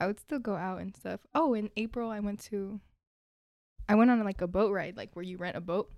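Woman with an ordinary speaking voice, medium-pitched, at a fairly quick pace with ordinary pitch variation. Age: 20s. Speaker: podcast guest, college student. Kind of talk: casual chat. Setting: studio.

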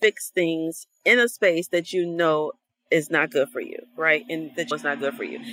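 A woman with an American accent and a normal speaking voice talks at a moderate pace and fairly low pitch, with ordinary pitch variation, in a very clean recording with a silent background and a dry, close sound with no echo. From Detroit, Michigan, US. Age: 40s. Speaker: anthropologist and author coach. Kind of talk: casual interview chat.

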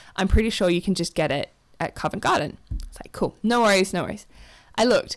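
Talking at a very fast pace, a woman of medium pitch shows big swings in loudness and ordinary pitch variation. The recording is very clean, with a silent background. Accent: Australian. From Australia, Adelaide. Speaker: theatre designer and illustrator. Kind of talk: casual chat.

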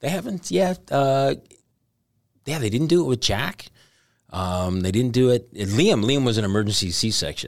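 On a very clean recording with a silent background, a man speaks at a moderate pace with very wide pitch swings and long, frequent pauses. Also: medium pitch for a man. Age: 50s. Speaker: stand-up comedian. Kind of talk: casual chat. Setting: studio.

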